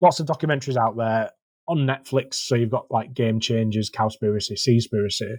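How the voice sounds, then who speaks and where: A man with a Yorkshire accent, medium pitch, ordinary pitch variation and a somewhat breathy voice, in a dry, close sound with no echo. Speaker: marine conservation volunteer coordinator. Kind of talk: casual podcast interview. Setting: podcast.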